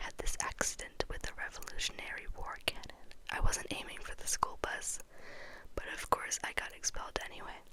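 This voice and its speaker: Someone is whispering at a fairly quick pace. Noticeable background noise sits behind the voice. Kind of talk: audiobook-style reading of a novel aloud. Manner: whispered, soft, up close.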